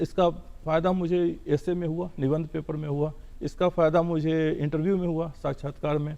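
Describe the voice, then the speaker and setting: This man's voice sits high in pitch. It carries a dark, mellow tone. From Bihar, India. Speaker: civil servant. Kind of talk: TV interview.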